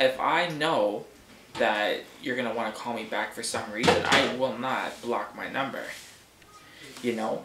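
A man speaks at a moderate pace. Audible room echo and light background noise surround the voice. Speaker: vlogger. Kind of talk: casual vlog rant. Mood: annoyed, ranting. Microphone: webcam.

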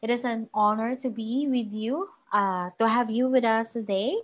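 A woman with a Filipino accent speaks in a fairly high voice. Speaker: webinar host. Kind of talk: formal introduction.

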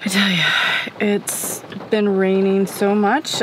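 A woman's voice is heard dry, with no echo, against noticeable background noise. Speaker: van camper vlogger. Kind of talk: casual vlog chat. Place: car. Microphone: phone near.

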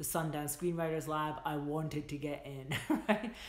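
A woman speaks with a very deep, low pitch at a moderate pace. Her intonation is fairly even, and audible room echo is present. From Scotland. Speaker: filmmaker and screenwriter. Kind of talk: livestream advice talk to viewers. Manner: casual, chatty with many fillers. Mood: warm, encouraging. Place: home room. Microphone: phone near.

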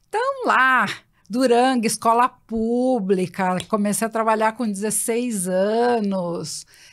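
This woman's voice is fairly high in pitch, with fairly even intonation. She speaks at a very slow pace against a quiet background. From São Paulo, Brazil (east zone, Itaquera); São Paulo, Brazil. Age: 60s. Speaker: recruitment company founder; guest. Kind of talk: interview conversation. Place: studio. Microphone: studio mic.

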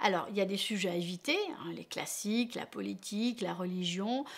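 At a moderate pace, a woman speaks with ordinary pitch variation and big swings in loudness. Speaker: relationship coach. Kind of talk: advice talk to camera. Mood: warm, encouraging. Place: home room.

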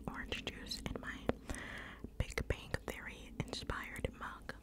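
Over noticeable background noise, a woman is whispering. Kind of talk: ASMR mukbang eating video, casual talk to camera. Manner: whispered, soft-spoken.

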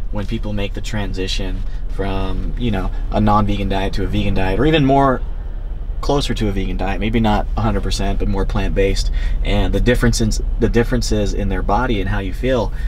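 This man talks at a fairly quick pace. Light background noise sits behind him. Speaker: fitness vlogger. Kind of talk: casual vlog chat. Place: car.

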